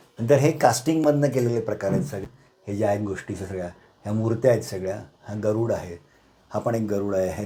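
A man speaks in a fairly low, dark, mellow voice with ordinary pitch variation. His delivery is somewhat breathy. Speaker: retired manager and private museum owner. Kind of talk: guided museum tour. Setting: small home museum room.

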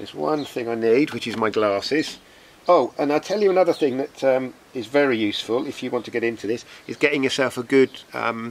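A man talks at a fairly quick pace, his intonation lively. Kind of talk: casual outdoor tutorial. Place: garden. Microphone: camera far.

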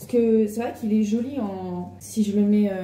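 With audible room echo and noticeable background noise, a woman speaks in a monotone, flat intonation. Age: 20s. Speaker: lifestyle vlogger. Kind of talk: casual vlog to camera.

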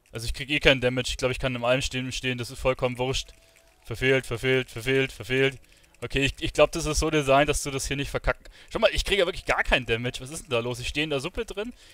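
Fast-paced and fairly bright in tone, a man speaks with ordinary pitch variation. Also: medium pitch for a man.

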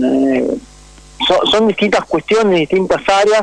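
Against noticeable background noise, the speaker uses a Rioplatense accent with ordinary pitch variation. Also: man. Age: 30s. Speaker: sports journalist. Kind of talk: radio interview. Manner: articulate.

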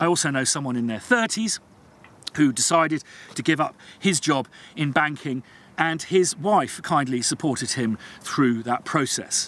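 At a fairly slow pace, a man speaks with lively intonation in a dry sound with no echo. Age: 40s. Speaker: composer and video blogger. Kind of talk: vlog monologue. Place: open country.

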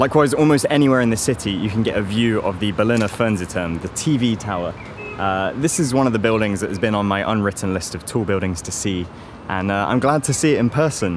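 Speaking at a very fast pace, a man with a fairly low pitch comes through dry with no echo, though noticeable background noise is present. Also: ordinary pitch variation. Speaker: travel vlogger. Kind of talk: casual vlog chat. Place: street. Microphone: phone near.

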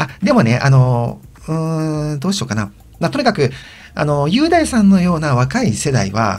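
This man's voice is fairly high-pitched and somewhat breathy. He moves at a moderate pace with very wide pitch swings. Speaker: video blogger. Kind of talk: casual monologue. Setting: old house, recorded solo. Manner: hesitant with many fillers.

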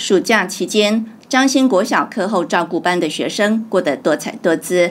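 A woman with an ordinary speaking voice talks at medium pitch and a fairly slow pace, using lively intonation. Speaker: news reporter. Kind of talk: news reading.

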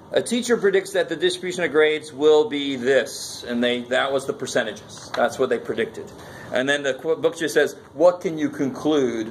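A man speaks at a fairly high pitch with lively intonation and a moderate pace. Light background noise sits behind him. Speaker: college math instructor. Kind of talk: classroom lecture. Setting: classroom with students. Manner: conversational, interactive, informal. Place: classroom.

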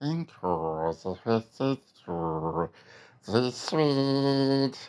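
The speaker uses a put-on character voice. It sits at a low-to-middle pitch.

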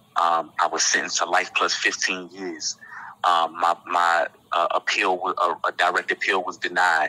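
Fairly slow and dry, a man's voice comes through close with no echo, against noticeable background noise. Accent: American. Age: 30s. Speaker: formerly incarcerated nonprofit co-founder. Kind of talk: interview testimony.

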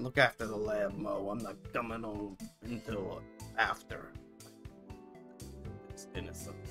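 Doing a put-on character voice, a man speaks in a gravelly, fairly low register at a fairly slow pace with long, frequent pauses, as clear music plays in the background. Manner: hard-boiled detective.

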